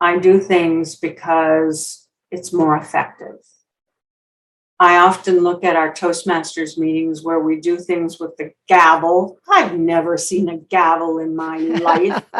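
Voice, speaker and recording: Very slowly, a woman speaks in a fairly low, monotone voice with flat intonation. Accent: Minnesotan. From Minnesota. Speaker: public speaker and storyteller. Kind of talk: interview.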